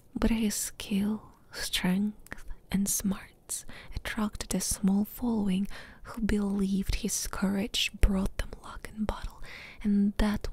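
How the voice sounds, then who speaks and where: The delivery is soft-spoken and very slow. The sound is dry, without echo. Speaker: ASMR gaming YouTuber. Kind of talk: whispered audiobook-style story reading, soothing ASMR bedtime narration. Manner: soft, hushed, slow and even, lulling; unhurried, gently dramatic, pausing between sentences. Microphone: studio mic.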